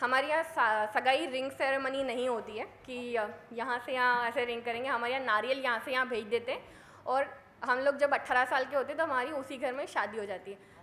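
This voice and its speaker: A woman's high-pitched, raised and projected voice at a moderate pace, fairly even in intonation, with audible room echo. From India, Madhya Pradesh (Sehore district village). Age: 30s. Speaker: mountaineer. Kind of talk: motivational talk. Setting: stage with audience.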